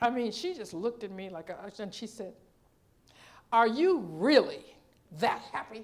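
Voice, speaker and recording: A fairly high-pitched woman with an animated tone, very wide pitch swings, big swings in loudness and long, frequent pauses. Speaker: minister. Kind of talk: sermon. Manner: fast.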